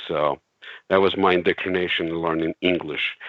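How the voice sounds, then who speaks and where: A man talks in a Russian accent at a very deep, low pitch. The sound is dry with no echo, against a quiet background. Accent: Russian accent (joked as Cleveland accent). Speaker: CAD software expert; interview guest. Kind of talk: casual chat. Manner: halting, many fillers. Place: home room. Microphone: video call.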